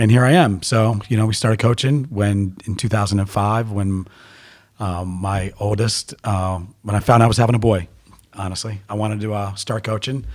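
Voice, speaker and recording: A man talks at a moderate pace with fairly even intonation and a fairly low pitch. His is an ordinary speaking voice. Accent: American. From US Mid-Atlantic, Baltimore area (Owings Mills). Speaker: youth soccer coach. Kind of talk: casual interview.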